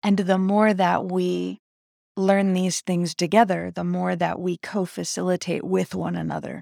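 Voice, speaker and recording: A woman talks at a fairly slow pace, and the sound is dry and close with no echo. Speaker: independent podcaster. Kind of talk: solo monologue. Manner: halting.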